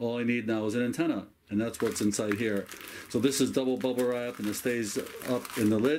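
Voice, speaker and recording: The speech moves at a fairly quick pace with fairly even intonation against noticeable background noise. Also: man. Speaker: ham radio hobbyist. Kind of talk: tutorial show-and-tell. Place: home room.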